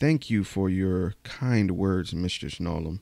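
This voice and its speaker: A man puts on a character voice, pitched very deep and low, and moves at a fairly slow pace. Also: ordinary pitch variation. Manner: forced politeness through gritted teeth, angry.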